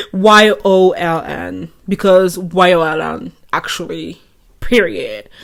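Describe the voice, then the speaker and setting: This woman speaks at a very slow pace. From France. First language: French. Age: 20s. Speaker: vlogger. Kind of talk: casual monologue. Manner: rambling stream of consciousness.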